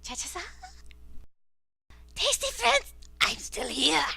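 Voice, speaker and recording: Put-on character voice at a fairly slow pace. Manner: playful, menacing.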